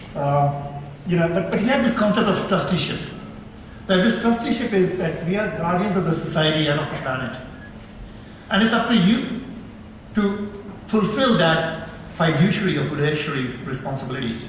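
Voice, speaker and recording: A man with an Indian accent speaks at a high pitch with lively intonation and long, frequent pauses. Noticeable background noise and audible room echo are present. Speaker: professor and researcher. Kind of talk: conference talk. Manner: fast; halting, many repetitions.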